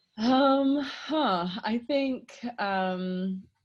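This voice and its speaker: A woman's voice in a Canadian accent with ordinary pitch variation. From Canada. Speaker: sex researcher and therapist. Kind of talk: podcast interview. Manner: direct.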